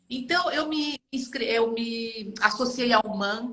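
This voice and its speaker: A woman's fairly high voice at a very slow pace, with ordinary pitch variation and noticeable background noise. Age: 70s. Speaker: retired HR director, art student. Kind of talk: interview conversation.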